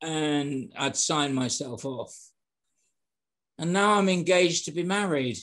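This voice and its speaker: A man with a British accent and a fairly high pitch speaks fairly slowly, with ordinary pitch variation and long, frequent pauses. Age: 70s. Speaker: sales and hospitality trainer. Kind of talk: interview. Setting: podcast.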